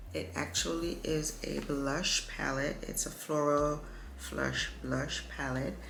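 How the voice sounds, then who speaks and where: Very slow speech amid noticeable background noise and audible room echo. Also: woman. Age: 50s. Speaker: beauty vlogger. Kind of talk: makeup tutorial. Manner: casual; whispering.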